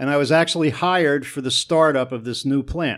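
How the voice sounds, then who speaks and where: On a very clean recording with a silent background, a man with an American accent speaks at a very fast pace in a fairly high pitch with ordinary pitch variation. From northern New Jersey (Newark, East Orange). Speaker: sewage treatment plant manager and drummer. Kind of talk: casual interview.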